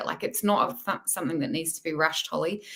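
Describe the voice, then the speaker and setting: A woman speaks with a fairly low pitch that varies in an ordinary way. Noticeable background noise runs behind her. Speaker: tarot reader and mindset coach. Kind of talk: live-stream tarot reading.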